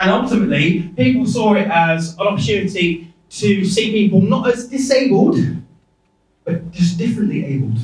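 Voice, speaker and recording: A man with an English Midlands accent and high pitch speaks at a moderate pace amid audible room echo. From English Midlands (Rugby, Warwickshire). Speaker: Paralympic cyclist, keynote speaker; keynote guest. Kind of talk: keynote speech. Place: hall.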